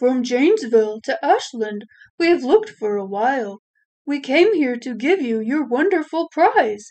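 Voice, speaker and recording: In a put-on character voice, a woman talks at a moderate pace, her pitch high. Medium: read story. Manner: friendly, enthusiastic.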